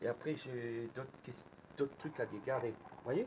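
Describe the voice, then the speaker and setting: A man talking at a moderate pace. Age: 60s. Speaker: magnet fishing youtuber. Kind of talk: angry vlog rant. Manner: animated; halting.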